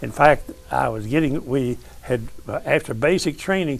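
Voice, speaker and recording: A man's fairly high-pitched voice with lively intonation at a moderate pace over noticeable background noise. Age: 90s. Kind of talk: interview storytelling. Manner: halting.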